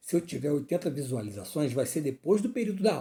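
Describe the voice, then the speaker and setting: A man's dark, mellow tone at a very fast pace, with very wide pitch swings. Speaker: teacher. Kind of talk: lecture. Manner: clipping words mid-sentence.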